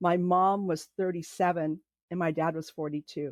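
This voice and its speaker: In a Californian accent, the speaker talks at a fairly slow pace with ordinary pitch variation, in a dry, close sound with no echo and a quiet background. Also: woman. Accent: General American (Californian). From California, Los Angeles area. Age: 60s. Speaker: podcast guest telling her family story. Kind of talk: personal testimony in interview. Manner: halting, many fillers.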